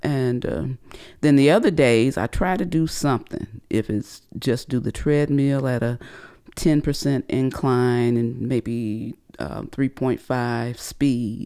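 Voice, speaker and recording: Very deep and low in pitch, a woman's voice has a dark, mellow tone and ordinary pitch variation. She speaks very slowly against a quiet background. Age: 60s. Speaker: host's mother. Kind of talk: casual chat. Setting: at home. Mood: calm, reflective. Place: home room. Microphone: studio mic.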